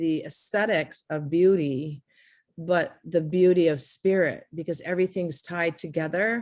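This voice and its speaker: A woman talks with a Hawaiian accent at a fairly slow pace. Her fairly low pitch keeps fairly even intonation against a quiet background. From Hawaii, Kailua. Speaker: artist. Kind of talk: interview.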